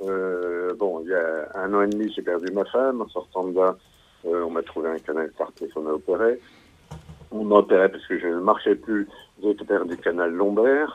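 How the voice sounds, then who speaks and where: His voice sits very deep and low. The man speaks at a moderate speed. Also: ordinary pitch variation. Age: 60s. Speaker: caller. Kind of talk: call-in testimony.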